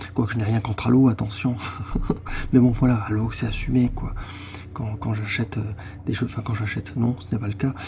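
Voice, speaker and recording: Noticeable background noise behind a man speaking with fairly even intonation. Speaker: gaming youtuber. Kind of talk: video game commentary. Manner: halting.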